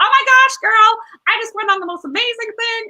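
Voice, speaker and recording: In a put-on character voice, a female-sounding speaker uses an excited tone, an extremely high pitch and a fairly quick pace. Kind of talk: valley girl. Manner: gushing, excited.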